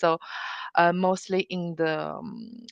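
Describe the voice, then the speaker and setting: In a Chinese accent, a woman speaks with fairly low pitch and fairly even intonation, the sound dry and close with no echo. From China. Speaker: automotive AI compliance expert. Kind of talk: interview. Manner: halting, many fillers.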